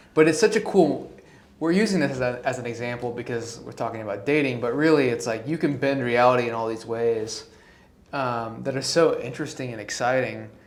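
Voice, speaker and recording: Spoken at a fairly quick pace with ordinary pitch variation, the voice swings widely in loudness against an audible room echo. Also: man, medium pitch for a man. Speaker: guest interviewer, friend of podcast host. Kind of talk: casual chat. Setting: home apartment studio. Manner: animated.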